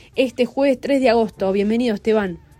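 Her voice is high in pitch with a dark, mellow tone, and this woman's pitch varies in an ordinary way. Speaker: radio host. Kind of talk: radio interview.

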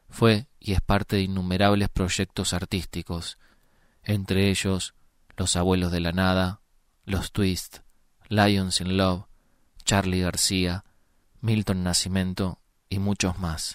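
The speech is very slow, with long and frequent pauses. The intonation stays monotone and flat, in a Uruguayan accent. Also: man, very deep, low pitch for a man. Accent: Rioplatense Spanish (Uruguayan). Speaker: podcast host. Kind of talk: interview; scripted introduction.

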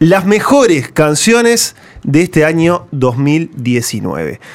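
The speaker here is a man. His voice leaps up and down across a very wide pitch range. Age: 20s. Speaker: radio host. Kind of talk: casual radio panel chat. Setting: radio studio, recorded live.

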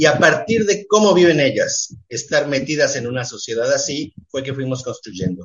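At a moderate pace with hardly any pauses, a man speaks in a fairly high pitch that swings very widely. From Mexico (left Uruguay as a child). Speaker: theatre director. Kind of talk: radio interview. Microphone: connection dropped out.

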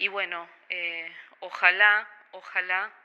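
A woman speaks in a monotone with flat intonation. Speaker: photographer and bank worker. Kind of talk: radio interview. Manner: halting, many fillers and repetitions.

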